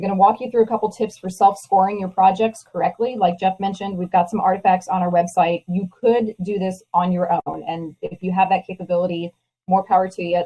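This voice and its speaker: A woman with an American accent talks at a fairly quick pace in a medium pitch, her voice somewhat breathy with a dark, mellow tone and monotone, flat intonation. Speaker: proposal consultant presenting a webinar. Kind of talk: webinar presentation. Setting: online webinar call. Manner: fast.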